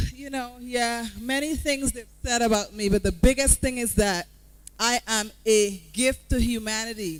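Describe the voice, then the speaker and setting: Her pitch fairly high with ordinary variation, a woman with a Guyanese accent speaks at a moderate pace. Her tone is animated. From Guyana, Georgetown. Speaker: motivational speaker. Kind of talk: motivational talk. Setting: stage with audience. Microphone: mic cutting out.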